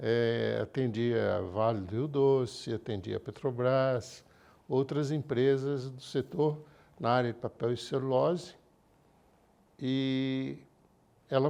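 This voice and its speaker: Over a quiet background, a man with a medium-pitched voice and ordinary pitch variation speaks very slowly, with long, frequent pauses. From Minas Gerais, Brazil. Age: 70s. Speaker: engineer and car rental founder. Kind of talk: interview. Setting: studio.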